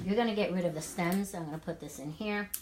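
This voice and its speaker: A woman talks with an American accent, and noticeable noise can be heard in the background. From New York City. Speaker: wellness coach. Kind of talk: cooking demo live chat. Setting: home kitchen, live stream. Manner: casual, chatty.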